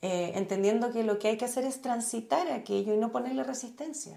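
A woman's fairly high voice with a dark, mellow tone, very wide pitch swings and a Chilean accent. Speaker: journalist and meditation teacher. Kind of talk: casual interview conversation.

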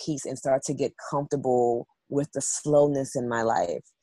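This woman has a very deep, low voice and a New York accent. She talks at a fairly slow pace in a flat monotone. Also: dry, close sound with no echo. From New York City. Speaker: spiritual wellness practitioner and model. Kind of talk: podcast interview.

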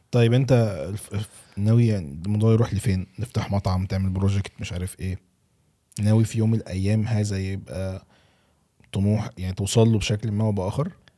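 With an Egyptian accent, a man speaks fairly quickly in a fairly low, dark, mellow voice. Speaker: podcast host. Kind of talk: casual podcast interview. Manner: animated.

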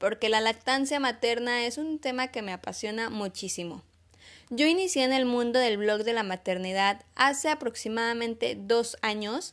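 A plain, everyday voice from a woman, fairly high in pitch with ordinary pitch variation and a moderate pace, in a very clean recording with a silent background. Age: 20s. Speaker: podcast host, mom blogger. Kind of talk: solo podcast monologue.

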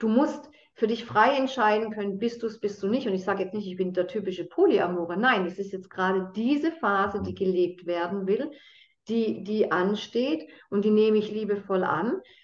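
A woman at medium pitch with ordinary pitch variation and a moderate pace, a normal speaking voice. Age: 50s. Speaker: consciousness trainer and addiction coach. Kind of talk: casual interview conversation.

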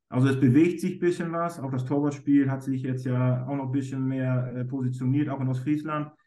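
A man with a dark, mellow tone and medium pitch talks at a fairly quick pace, with fairly even intonation and hardly any pauses. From northern Germany, East Frisia. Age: 30s. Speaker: goalkeeper coach. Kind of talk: interview.

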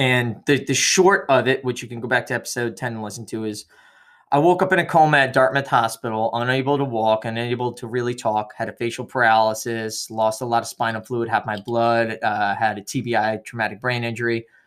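Moving at a fairly quick pace, a man with a normal speaking voice talks at a medium pitch with ordinary pitch variation. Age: 30s. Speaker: podcast co-host, military veteran. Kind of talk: casual chat.

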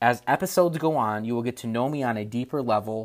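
Speaking at a moderate pace with ordinary pitch variation, the voice comes through on a very clean recording over a silent background. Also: man. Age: 20s. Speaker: podcast host, tech entrepreneur. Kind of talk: solo podcast monologue.

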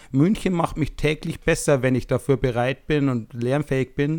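In a very clean recording with a silent background, a man with an ordinary speaking voice talks at a moderate pace, his pitch fairly high with ordinary variation. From small town in Germany. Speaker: podcast co-host. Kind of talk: casual chat.

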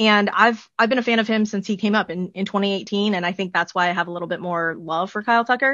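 The tone is bright and sharp, with ordinary pitch variation. The background is quiet. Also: woman. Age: 40s. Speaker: baseball podcaster. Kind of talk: casual chat.

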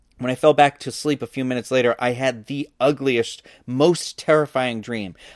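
On a very clean recording with a silent background, the sound is dry and close with no echo. A man talks at a moderate pace in a medium pitch with ordinary pitch variation. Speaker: podcast host reading a book aloud. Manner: dramatic, hushed and tense when narrating; voices characters with shifts in tone; casual, chatty and enthusiastic outside the reading.

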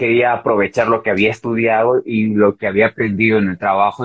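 A man's unremarkable speaking voice, medium in pitch, at a moderate pace. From Bolivia. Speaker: TV presenter. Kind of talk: interview.

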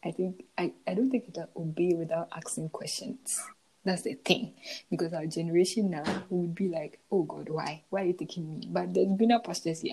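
This woman has a fairly low pitch and a dark, mellow tone. She speaks at a fairly quick pace, somewhat breathy. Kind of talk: casual devotional talk. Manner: hesitant, many fillers.

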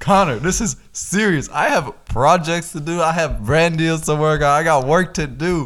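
Hardly pausing, a man with an American accent and a fairly high pitch talks at a moderate pace in an animated tone. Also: ordinary pitch variation. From Boston, US. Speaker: podcast co-host. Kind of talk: casual chat.

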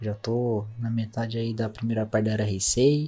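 Somewhat breathy, a man speaks at a medium pitch with monotone, flat intonation. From Indaiatuba, São Paulo state, Brazil. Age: 20s. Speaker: listener. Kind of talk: recorded listener message.

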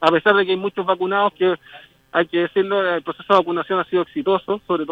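In a Chilean accent, a man talks at a fairly quick pace. His pitch is high. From southern Chile (Temuco). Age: 30s. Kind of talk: remote interview. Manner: halting.

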